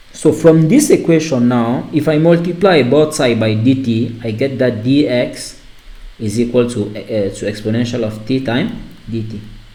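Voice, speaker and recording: Speaking at a fairly slow pace with a non-native accent, a man of medium pitch shows ordinary pitch variation amid noticeable background noise and audible room echo. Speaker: math teacher. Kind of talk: lecture. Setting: online class recording. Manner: halting.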